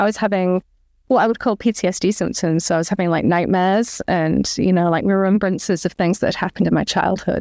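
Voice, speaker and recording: Speech comes at a very fast pace in an English accent, with fairly even intonation and very even loudness. The background is quiet. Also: woman, medium pitch for a woman. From England. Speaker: author and comic artist. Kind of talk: interview.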